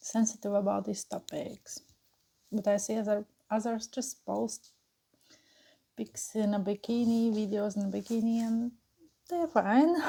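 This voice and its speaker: The voice is somewhat breathy with a dark, mellow tone, broken by long, frequent pauses. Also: woman. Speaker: mukbang and burping YouTuber. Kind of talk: casual chat while eating and drinking. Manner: hesitant, filler-heavy.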